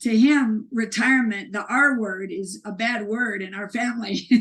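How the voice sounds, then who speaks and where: This woman speaks with a fairly high pitch. Her intonation stays fairly even. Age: 60s. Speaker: author and speaker. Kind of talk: interview conversation. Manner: halting, many restarts.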